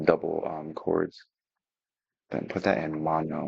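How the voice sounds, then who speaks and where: Someone is whispering at a moderate pace. The sound is dry and close, with no echo. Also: man. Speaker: music producer. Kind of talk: tutorial. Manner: halting.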